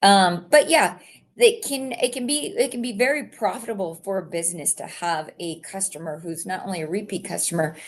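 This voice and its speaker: Over a quiet background, a woman with an ordinary speaking voice at medium pitch talks at a fairly quick pace, with lively intonation and big swings in loudness. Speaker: company representative. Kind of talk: live stream presentation. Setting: live stream.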